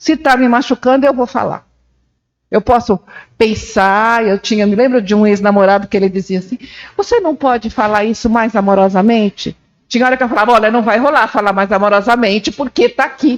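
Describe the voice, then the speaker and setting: At a fairly quick pace, a woman speaks with fairly high pitch and ordinary pitch variation, in a dry, close sound with no echo. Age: 60s. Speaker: journalist. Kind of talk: panel discussion. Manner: intense, emphatic.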